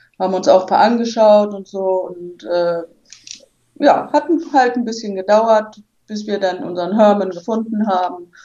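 Fairly slow delivery from a woman, pitched in the middle range, with ordinary rises and falls in pitch. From Hamburg. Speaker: rally participant. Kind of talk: casual interview.

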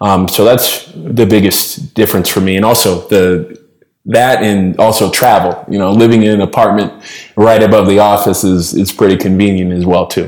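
Fairly low in pitch, a man uses a normal speaking voice, fairly even intonation and a moderate pace. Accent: American. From Boston. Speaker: podcast co-host, former investment consultant. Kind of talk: casual chat.

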